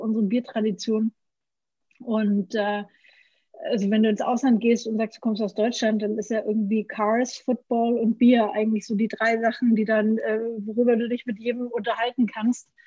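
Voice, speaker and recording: A woman talks in a somewhat breathy, dark, mellow tone, her intonation monotone and flat. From Franconia, Germany. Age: 30s. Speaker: brewery founder. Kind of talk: interview. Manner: many filler sounds.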